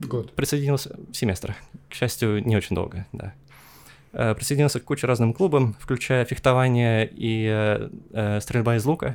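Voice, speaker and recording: Long, frequent pauses in a man's moderately paced, medium-pitched speech with ordinary pitch variation. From Estonia (Tallinn), Russian-speaking. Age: 20s. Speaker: airline pilot. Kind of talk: interview. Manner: hesitant, many fillers.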